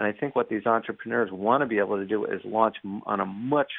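A man speaks in a plain, everyday voice with a fairly low pitch and ordinary pitch variation. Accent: American. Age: 40s. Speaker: journalist and author. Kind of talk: interview.

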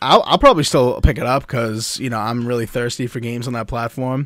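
Using a normal speaking voice with an American accent, a man talks at a fairly quick pace in a medium pitch, his intonation fairly even but with big swings in loudness. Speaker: podcast host. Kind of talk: casual chat. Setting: live stream.

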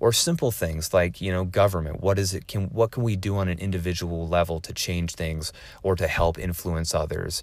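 With a West Coast accent, a man speaks in a very deep, low pitch at a moderate pace, his intonation fairly even and hardly any pauses. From US West Coast, Oregon. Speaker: military veteran and podcast host. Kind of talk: solo podcast monologue. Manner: casual with filler words.

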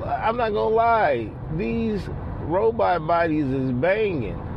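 A man speaks with very wide pitch swings against noticeable background noise. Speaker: listener leaving voicemail. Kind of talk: casual voicemail message. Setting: phone voicemail.

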